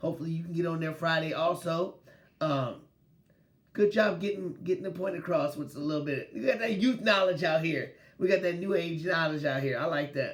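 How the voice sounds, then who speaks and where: A loud, animated man's voice, high-pitched with ordinary pitch variation, at a fairly quick pace. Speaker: sports podcast host. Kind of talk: casual sports talk.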